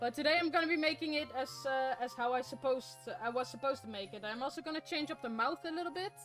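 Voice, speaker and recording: Music plays in the background. A woman talks at a very fast pace with lively intonation. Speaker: craft streamer. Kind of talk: casual live stream chat while crafting. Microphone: studio mic.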